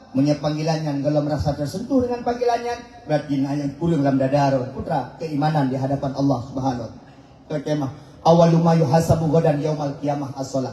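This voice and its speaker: A man's fairly high voice at a very fast pace, with noticeable background noise and audible room echo. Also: ordinary pitch variation. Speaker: Islamic preacher. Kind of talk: sermon.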